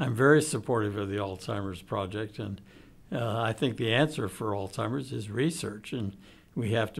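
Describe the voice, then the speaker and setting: Somewhat breathy medium-pitched man with an American accent, moderate pace and ordinary pitch variation, in a very clean recording over a silent background. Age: old. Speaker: retired pediatrician. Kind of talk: interview testimony.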